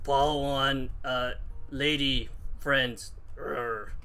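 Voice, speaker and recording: Using a put-on character voice, a man speaks at a very slow pace and a medium pitch. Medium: actual play. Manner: slow, halting speech.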